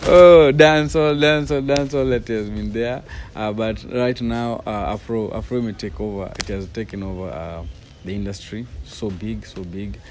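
A man speaks at a medium pitch and a fairly slow pace, with lively intonation. His loudness swings widely over light background noise. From Kenya, Nairobi (Kibera); Kenya. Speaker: professional dancer. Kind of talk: interview. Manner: halting. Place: open country.

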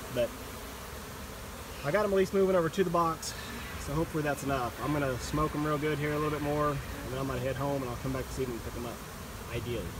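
Very fast speech. The sound is dry with no echo, and there is noticeable background noise. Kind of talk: casual narration while working. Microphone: phone near.

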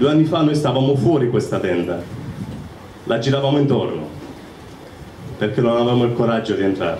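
With light background noise and audible room echo, a man of medium pitch talks at a fairly quick pace, using lively intonation and long, frequent pauses. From southern Italy, Apulia (San Severo). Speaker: church member giving testimony. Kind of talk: testimony. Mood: warm, smiling, emotional. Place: tent.

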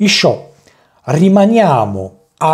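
Very slow speech from a man over a quiet background. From Italy. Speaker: language teacher. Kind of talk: tutorial. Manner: halting.

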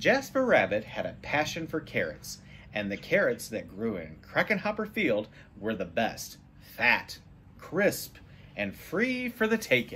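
A man's voice with very wide pitch swings and a bright, sharp tone, over light background noise. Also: fairly slow pace. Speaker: storybook reader. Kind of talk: read-aloud storytelling. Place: home room. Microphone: phone near.

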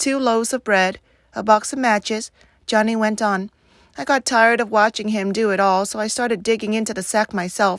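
In a natural voice, a passage is read aloud.

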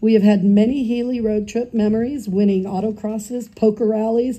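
This woman with an American accent has a fairly high pitch and a dark, mellow tone that is somewhat breathy. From Northern California. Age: 60s. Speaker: daughter of the deceased giving eulogy; speaker. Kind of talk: eulogy reading. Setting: memorial gathering with audience, partly outdoors. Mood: warm, reminiscent. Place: garden. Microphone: pa.

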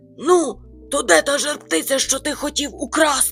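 Over clear music in the background, a put-on character voice speaks at a moderate pace. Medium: read story.

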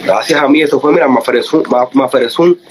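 Over light background noise, a man talks at a moderate pace with a fairly high pitch and ordinary pitch variation. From Cuba. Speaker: reggaeton artist. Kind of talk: heated rant. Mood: confrontational, boastful. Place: home room. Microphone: phone near.

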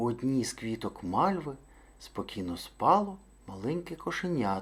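Unforced reading voice throughout

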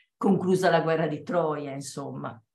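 A woman speaks with fairly even intonation, her voice echoing audibly in the room against a quiet background. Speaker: theatre performer. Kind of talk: dramatic reading aloud. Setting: video call.

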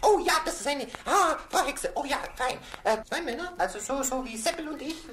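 A put-on character voice, high in pitch, comes at a moderate pace over clear background noise. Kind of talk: children's radio play. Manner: excited, stammering.

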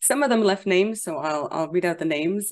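A woman with an unremarkable speaking voice talks at a fairly low pitch with ordinary pitch variation. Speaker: interview host. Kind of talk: interview introduction. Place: home room. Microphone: studio mic.

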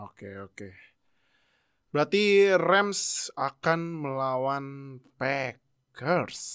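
The pace is very slow. The background is quiet. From Indonesia. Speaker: podcast host, NFL fan. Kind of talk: casual sports review chat. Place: home room.

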